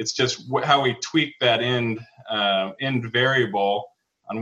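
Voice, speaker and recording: A plain, everyday voice: a man with an American accent, medium pitch and ordinary pitch variation. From Wyoming, US. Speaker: entrepreneur and podcast host. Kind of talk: interview answers, business advice. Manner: frequent fillers and restarts.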